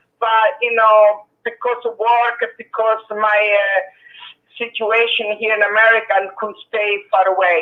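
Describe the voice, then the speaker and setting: With an Italian accent, a woman speaks fairly slowly at a fairly high pitch. Her intonation is monotone and flat. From Sicily, province of Agrigento. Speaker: caller. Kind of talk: casual chat. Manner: halting.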